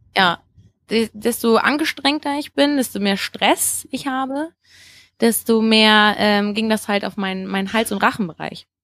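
A woman in a plain, everyday voice talks at a fairly slow pace, fairly high in pitch with ordinary pitch variation, in a dry, close sound with no echo. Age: 20s. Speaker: singer and vocal coach. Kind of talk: casual interview.

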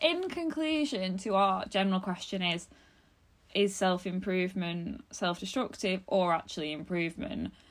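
A woman with a normal speaking voice, medium pitch and lively intonation at a moderate pace. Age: 20s. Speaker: podcast host. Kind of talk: casual chat.

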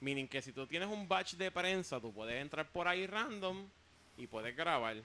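Lively intonation from a man with a Puerto Rican accent, bright, sharp tone and moderate pace. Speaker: comedian and web video creator. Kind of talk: casual chat.

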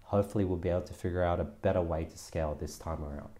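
A man's very deep, low pitch comes with a dark, mellow tone and a somewhat breathy quality. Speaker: podcast host and online education founder. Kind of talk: casual interview chat.

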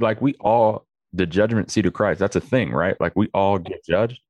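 A man talks at a moderate pace with a fairly low pitch and vocal fry. The sound is dry and close, without echo. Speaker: pastor. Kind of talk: casual chat.

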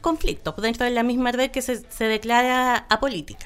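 A woman with a high pitch talks at a moderate pace, her intonation fairly even. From Chile, Aysén region (Coyhaique). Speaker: local council candidate and environmental activist. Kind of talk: interview.

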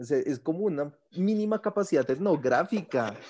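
On a very clean recording with a silent background, a man speaks in an animated tone with lively intonation. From Bogotá, Colombia. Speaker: gastronomy professor. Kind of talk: casual interview.

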